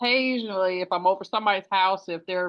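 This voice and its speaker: The woman's voice sits at a medium pitch. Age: 60s. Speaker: herbalist facilitator. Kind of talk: casual chat. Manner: halting.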